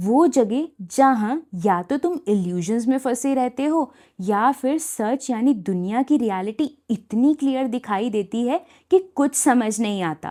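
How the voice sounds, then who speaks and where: A dark, mellow tone on a very clean recording with a silent background. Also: woman, high pitch for a woman. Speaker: poet and storyteller. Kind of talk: spoken word storytelling.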